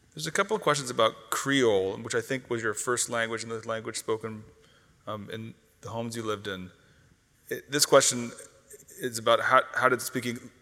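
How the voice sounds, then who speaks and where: A man at medium pitch talks at a fairly quick pace with ordinary pitch variation. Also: long, frequent pauses, big swings in loudness. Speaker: event moderator. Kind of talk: onstage interview. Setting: stage with audience.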